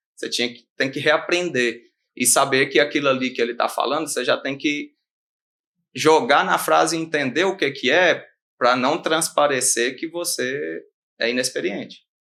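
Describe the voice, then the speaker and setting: With a Minas Gerais accent, a man speaks at a fairly high pitch and a moderate pace, his tone bright and sharp, his pitch varying in an ordinary way against a quiet background. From Brazil, Minas Gerais. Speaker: animal scientist and rural consultant. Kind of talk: podcast interview.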